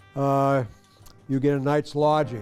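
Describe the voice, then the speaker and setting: Against music in the background, a man speaks fairly slowly at a fairly high pitch. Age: 80s+. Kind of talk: interview answer.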